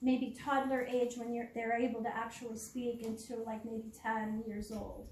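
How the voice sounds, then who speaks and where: A woman's high-pitched voice with audible room echo. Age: 60s. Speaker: public speaker on starseeds. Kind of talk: public presentation. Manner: halting.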